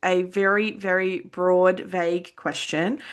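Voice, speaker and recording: Over a quiet background, a woman with an Australian accent speaks in a bright, sharp tone. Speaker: podcast host and counsellor. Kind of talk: interview.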